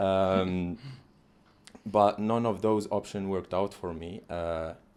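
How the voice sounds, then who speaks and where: A man with a very deep, low pitch speaks very slowly in a monotone, flat intonation. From Algeria, Algiers. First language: not English (English is his third language). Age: 20s. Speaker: international student turned sales specialist. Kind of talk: interview.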